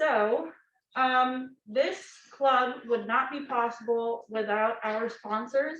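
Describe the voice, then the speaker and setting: At a very slow pace, a woman speaks in a fairly high pitch with fairly even intonation. Audible room echo surrounds her voice. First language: Russian. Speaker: student club president. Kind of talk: club meeting presentation.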